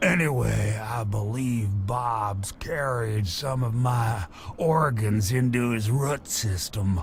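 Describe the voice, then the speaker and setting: Very slowly, a man speaks in a put-on character voice pitched fairly low. Background noise is clearly audible. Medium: video game. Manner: rambling, folksy, chuckling.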